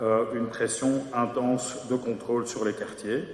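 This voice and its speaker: Moderate pace and medium pitch from a man, with noticeable background noise and audible room echo. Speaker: mayor. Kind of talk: council meeting debate reply. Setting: council chamber. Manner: hesitant, many fillers.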